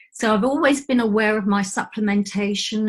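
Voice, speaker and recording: Somewhat breathy, a woman talks at a fairly quick pace with medium pitch and ordinary pitch variation. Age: 60s. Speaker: aura mediator. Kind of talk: casual chat.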